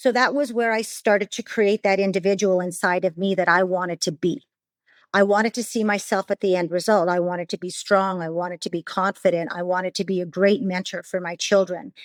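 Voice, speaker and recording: On a very clean recording with a silent background, a woman speaks at a fairly quick pace in a Canadian accent. Her medium-pitched voice has a dry, close sound with no echo. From Canada. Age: 50s. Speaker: podcast guest sharing recovery story. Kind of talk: testimony. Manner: animated; halting.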